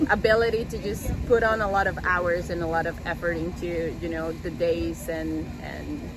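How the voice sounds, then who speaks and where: With audible room echo and noticeable background noise, a woman speaks at a moderate pace with hardly any pauses. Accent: strong Colombian. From Colombia. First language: Spanish. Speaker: pilot and flight instructor. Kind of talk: interview. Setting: airport.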